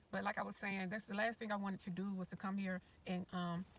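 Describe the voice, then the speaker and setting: A somewhat breathy woman's voice at medium pitch. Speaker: retired RV-living YouTuber. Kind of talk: casual livestream commentary. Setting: sitting in car, livestream.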